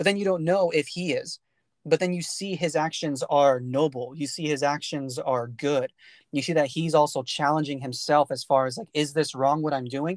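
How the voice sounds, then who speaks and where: A man with a plain, everyday voice and an American accent, fairly high in pitch with fairly even intonation, at a moderate pace, in a dry, close sound with no echo and a quiet background. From US, California Central Valley. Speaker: podcast host. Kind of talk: casual chat.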